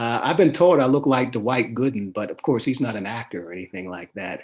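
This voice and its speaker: A man talks in a plain, everyday voice with an American accent. His pitch is medium, his pace fairly quick, and his intonation lively. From Pittsburgh, Pennsylvania, US. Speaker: sports columnist. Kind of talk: interview. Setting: live stream.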